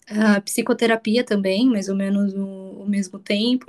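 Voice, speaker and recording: A woman with a normal speaking voice, medium in pitch, with fairly even intonation. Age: 20s. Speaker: entrepreneur, burnout patient. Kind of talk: testimony interview.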